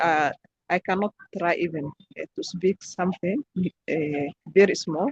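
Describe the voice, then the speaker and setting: A somewhat breathy woman's voice at a fairly slow pace, dry and close with no echo. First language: not English. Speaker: English learner in online conversation group. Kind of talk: answering discussion question. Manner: halting.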